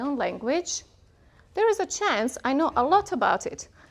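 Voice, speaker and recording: The speaker has a Bosnian accent. Delivery comes at a moderate pace. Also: woman. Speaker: workshop presenter, linguist. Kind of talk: conference workshop talk.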